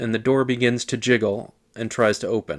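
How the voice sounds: Fairly even intonation in a natural reading voice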